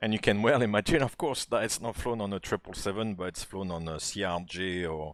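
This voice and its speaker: There is a French accent in this man's speech. He talks at a fairly low pitch. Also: very clean recording, silent background. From France. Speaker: flight simulator streamer. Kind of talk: live-stream commentary and tutorial. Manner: hesitant, many filler words; casual, relaxed.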